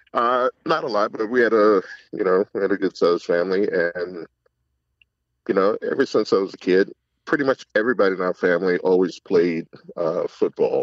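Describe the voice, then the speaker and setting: Someone with an American accent talks fairly quickly in a normal speaking voice, with ordinary pitch variation. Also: man, fairly low pitch for a man. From Northern Virginia (Alexandria). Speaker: chef and football coach. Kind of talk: interview conversation.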